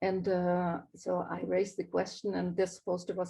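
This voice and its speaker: In a non-native accent, the speaker delivers a dark, mellow tone at a moderate pace. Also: woman. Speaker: graphic designer. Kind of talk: live talk presenting own work. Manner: hesitant, many fillers.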